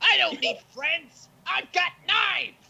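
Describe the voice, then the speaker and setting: This put-on character voice has an extremely high pitch. It moves at a fairly slow pace. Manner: angry, shouting.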